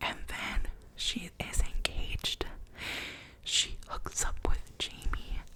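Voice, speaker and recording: A woman whispers at a very slow pace, leaving long, frequent pauses. Noticeable background noise runs underneath. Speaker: ASMR content creator. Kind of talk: ASMR ramble, casual talk to camera. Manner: whispered, soft-spoken.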